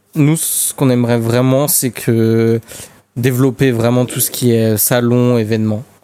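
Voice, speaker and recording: A man's medium-pitched, dark, mellow voice, fairly slow, with monotone, flat intonation. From Paris suburbs. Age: 20s. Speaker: airsoft website co-founder. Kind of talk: casual chat.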